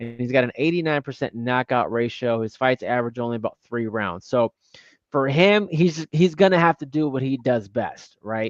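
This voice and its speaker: At a fairly quick pace, a normal speaking voice with ordinary pitch variation comes through with a dry, close sound and no echo. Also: man. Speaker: boxing analyst. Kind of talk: live boxing watch-along commentary.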